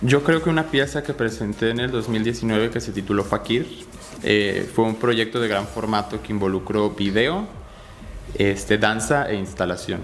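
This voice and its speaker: A man with a medium pitch talks at a fairly slow pace, his pitch variation ordinary, with noticeable background noise behind him. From Mexico City. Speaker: visual artist and dancer. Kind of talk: interview. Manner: hesitant, many fillers.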